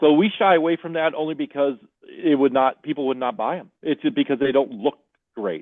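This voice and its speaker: A man speaks at a fairly quick pace, his voice fairly high in pitch with ordinary variation. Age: 60s. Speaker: greenhouse owner and beekeeper. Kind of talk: podcast interview.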